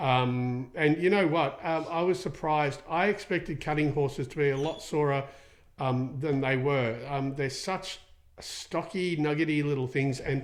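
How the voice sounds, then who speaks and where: Ordinary pitch variation in an Australian accent. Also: man, fairly high pitch for a man. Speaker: equine soft tissue therapist, podcast host. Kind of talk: podcast Q&A with live viewers. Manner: fast; many fillers, casual.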